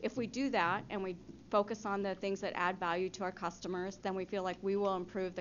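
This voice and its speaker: A woman speaks at a fairly quick pace. Her intonation stays flat and monotone. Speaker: city staff presenter. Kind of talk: presentation to city council. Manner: fast.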